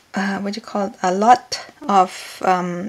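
Speaking at a very slow pace with ordinary pitch variation, a woman is heard over noticeable background noise. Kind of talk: tutorial. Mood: relaxed, cheerful.

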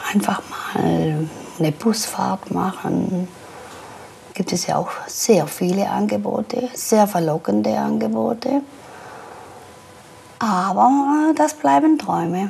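Over light background noise, a woman talks at a very slow pace with long, frequent pauses. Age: 60s. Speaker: pensioner, former electrical industry worker. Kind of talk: documentary interview answer. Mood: resigned, wistful. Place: home room. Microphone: lapel.

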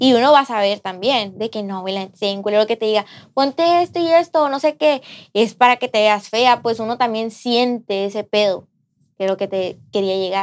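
This is a woman speaking at a moderate pace. Her pitch varies in an ordinary way. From Sinaloa, Mexico. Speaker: podcast co-host. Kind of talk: casual chat. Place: studio.

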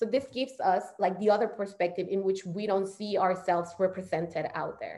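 Over a quiet background, a woman talks at a fairly quick pace with hardly any pauses and ordinary pitch variation. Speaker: PhD candidate and community organizer; guest. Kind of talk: online presentation. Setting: video call. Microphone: video call.

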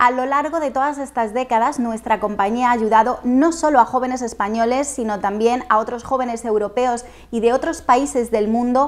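A woman with a high voice speaks at a moderate pace, her intonation fairly even and hardly any pauses between words. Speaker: presenter. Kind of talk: scripted presentation. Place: home room. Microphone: lapel.

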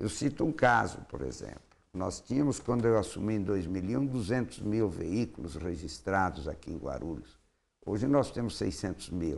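A man's fairly low voice with vocal fry, very wide pitch swings and a moderate pace. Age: 70s. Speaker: mayoral candidate, politician; candidate, politician. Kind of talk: interview. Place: studio. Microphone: lapel.

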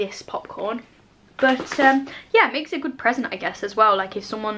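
Light background noise sits under a woman speaking at a moderate pace with fairly even intonation. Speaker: vlogger reviewing a hamper box. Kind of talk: casual vlog chat. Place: home room.

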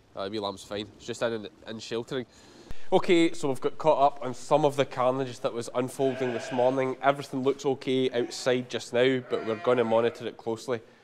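A man with a strong Scottish accent, medium-pitched and fairly quick, fairly even in intonation, over noticeable background noise. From Scotland, Ayrshire; Scotland. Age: 30s. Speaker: sheep farmer. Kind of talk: farm vlog. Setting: outdoors. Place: farm machine. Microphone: lapel.

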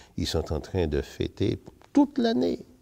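There's little background sound while the man is talking. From Martinique. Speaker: retired teacher. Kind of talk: testimony. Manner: animated. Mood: warm, smiling, cheerful. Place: church. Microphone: lapel.

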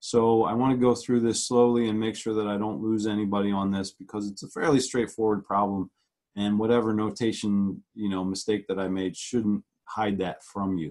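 A normal speaking voice, a man at a fairly low pitch and moderate pace, fairly even intonation over a quiet background. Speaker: physics lecturer. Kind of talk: lecture. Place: home room. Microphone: webcam.

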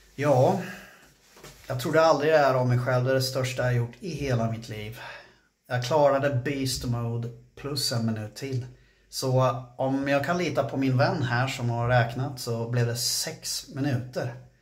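A man's fairly slow delivery, the intonation fairly even. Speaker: fitness vlogger. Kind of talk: casual vlog chat. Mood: gritty, swearing, proud.

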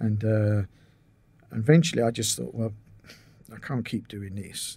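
Delivery comes at a fairly quick pace with fairly even intonation. The voice is somewhat breathy. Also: man. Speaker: podcast guest. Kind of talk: interview answer. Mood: relaxed, reminiscing. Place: home room. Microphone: studio mic.

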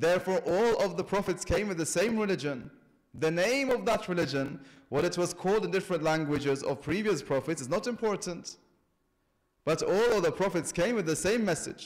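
Over a quiet background, a man talks at a fairly quick pace. His intonation is lively. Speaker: religious lecturer. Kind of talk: sermon. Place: church. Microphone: podium.

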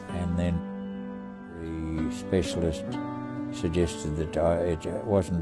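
A man talks at a moderate speed while music plays clearly behind him. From Tasmania, Australia. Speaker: war veteran. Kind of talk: interview answer. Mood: somber, reflective. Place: home room.

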